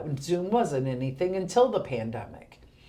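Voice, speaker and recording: A woman speaks with a dark, mellow tone. Audible room echo surrounds her voice. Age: 50s. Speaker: senior center director. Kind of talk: casual interview.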